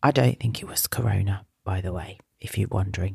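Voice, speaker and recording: A somewhat breathy voice comes through with a British accent. The recording is very clean, with a silent background and a dry, close sound with no echo. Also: woman. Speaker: children's wellbeing podcast host. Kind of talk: talk to young listeners.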